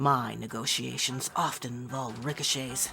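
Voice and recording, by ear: A woman puts on a character voice with an extremely low pitch, vocal fry and a bright, sharp tone. She keeps a moderate pace and fairly even intonation over faint music in the background.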